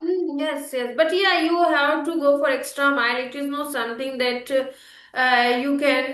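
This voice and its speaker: With an Indian accent, a woman speaks at a high pitch and a fairly slow pace. Her intonation is fairly even, and room echo is audible. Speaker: English learning YouTuber. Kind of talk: casual conversation practice. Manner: hesitant, many fillers.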